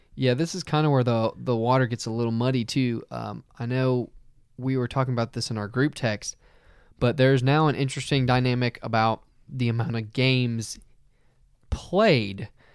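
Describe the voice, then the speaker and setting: In a very clean recording with a silent background, a man with an unremarkable speaking voice talks at a moderate pace, medium pitch, and fairly even intonation. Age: 20s. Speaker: hockey podcast co-host. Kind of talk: casual chat. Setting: studio.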